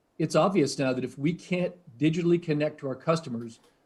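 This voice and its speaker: This man speaks with a New England accent at a moderate pace. His intonation stays fairly even. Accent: New England American. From US Northeast, New Hampshire. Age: 60s. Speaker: tech research executive. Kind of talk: interview. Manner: hesitant, many fillers.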